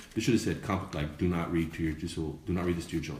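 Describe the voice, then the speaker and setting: A man speaks with an American accent in a very deep, low pitch. Audible room echo and noticeable background noise surround his voice. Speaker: dad blogger and show host. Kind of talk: casual live-stream commentary. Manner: lowered voice at one point.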